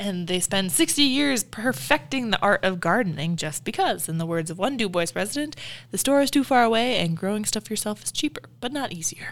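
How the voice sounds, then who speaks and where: A woman with an American accent, medium-pitched, at a fairly quick pace with very wide pitch swings and hardly any pauses. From Illinois, US Midwest. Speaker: museum staff podcast co-host. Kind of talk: casual chat.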